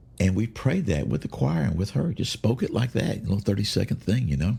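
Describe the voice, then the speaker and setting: At a moderate pace, a man talks with vocal fry. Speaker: podcast host, bible teacher. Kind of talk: casual devotional talk. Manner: halting, many fillers.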